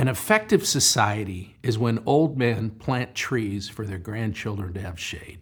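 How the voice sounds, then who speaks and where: With hardly any pauses, a man at medium pitch speaks in a somewhat breathy voice, showing ordinary pitch variation and big swings in loudness. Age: 60s. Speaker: real estate developer. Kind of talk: interview.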